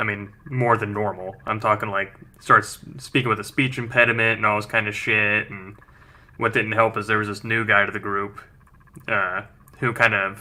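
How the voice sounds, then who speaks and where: A man with an American accent, a fairly low pitch and a bright, sharp tone speaks at a moderate pace. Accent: thick West Virginia accent at times. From West Virginia. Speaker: podcast co-host. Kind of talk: casual chat. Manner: animated.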